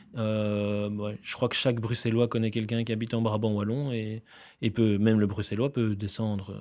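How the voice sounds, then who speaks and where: A man with a plain, everyday voice. The recording is very clean, with a silent background. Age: 30s. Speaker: grocery store founder. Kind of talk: interview. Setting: office studio.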